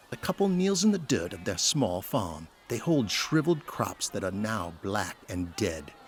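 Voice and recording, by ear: A man talks at a fairly slow pace. His pitch swings widely.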